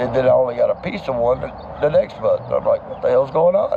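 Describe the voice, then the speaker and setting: A man's voice with noticeable background noise. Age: 60s. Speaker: homeless veteran. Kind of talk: street interview.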